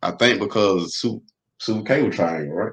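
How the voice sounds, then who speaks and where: In an American accent, a man speaks. His pace is moderate. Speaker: rapper and podcast host. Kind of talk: interview conversation. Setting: live streamed podcast interview. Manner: casual, hesitant with fillers.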